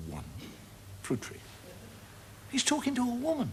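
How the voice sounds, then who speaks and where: The voice moves at a fairly quick pace with a bright, sharp tone and vocal fry. Its pitch swings very widely. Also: man. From Ireland. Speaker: stand-up comedian. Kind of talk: stand-up comedy routine, storytelling to an audience.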